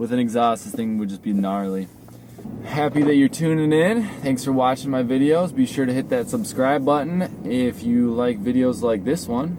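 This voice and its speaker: With noticeable background noise behind him, a man talks at a moderate pace in a relaxed tone. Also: medium pitch for a man, lively intonation. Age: 20s. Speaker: car reviewer. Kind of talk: casual vlog while driving. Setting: in a car. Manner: casual, relaxed.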